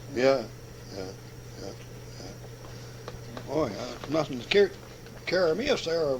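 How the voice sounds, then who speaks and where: A man's fairly high voice with lively intonation over noticeable background noise. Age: 70s. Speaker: old-timer interviewee, former farmhand and sawyer. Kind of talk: oral history interview. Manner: halting, repeats words.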